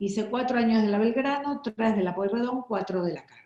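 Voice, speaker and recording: A woman's dark, mellow tone at a fairly high pitch, with ordinary pitch variation. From Buenos Aires, Argentina. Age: 60s. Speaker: printmaking artist. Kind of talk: interview.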